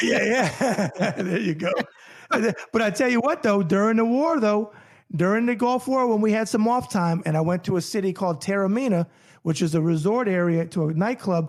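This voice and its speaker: A high-pitched man speaks with a New York accent and lively intonation at a moderate pace. His loudness stays very even on a very clean recording with a silent background. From New York, then Florida. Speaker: boxing journalist and Navy veteran. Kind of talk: casual interview chat.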